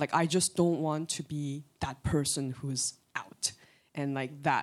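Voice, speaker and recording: A woman speaks at a moderate pace with a very deep, low pitch. The recording is very clean, with a silent background. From Korea. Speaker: church member. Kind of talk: testimony. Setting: church.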